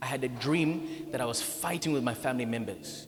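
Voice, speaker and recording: Music plays in the background as a man talks at a fairly quick pace in a fairly high pitch with ordinary pitch variation, and room echo is audible. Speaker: pastor. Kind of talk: sermon.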